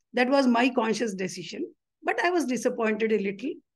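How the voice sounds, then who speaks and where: A woman talks at a moderate pace in a high pitch, with an Indian accent. Her intonation is lively. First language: Telugu. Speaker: retired bank employee and union leader. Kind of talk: interview.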